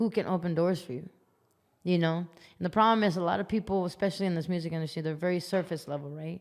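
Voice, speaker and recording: Very fast and with fairly even intonation, a woman speaks with an American accent at a fairly low pitch. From Las Vegas, US. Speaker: musician. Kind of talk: podcast interview. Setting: studio.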